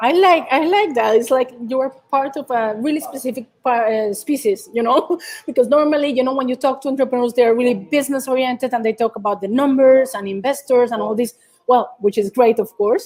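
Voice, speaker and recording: A high-pitched woman with a Colombian accent at a fairly quick pace, with ordinary pitch variation. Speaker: startup community co-founder and event host. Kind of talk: live interview. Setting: live online video event.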